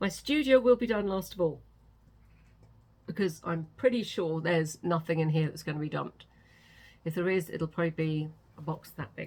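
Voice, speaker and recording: A woman with a British accent speaks at a fairly quick pace, leaving long, frequent pauses. Her voice is fairly low and somewhat breathy, with ordinary pitch variation. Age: 60s. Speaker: author vlogger. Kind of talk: casual vlog chat. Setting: home studio.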